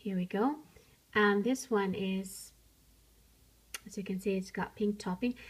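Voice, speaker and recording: A woman's somewhat breathy, medium-pitched voice at a fairly slow pace, fairly even in intonation, with long, frequent pauses. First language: not English. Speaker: miniature crafts YouTuber. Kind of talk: show-and-tell tutorial. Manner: casual, hesitant with fillers.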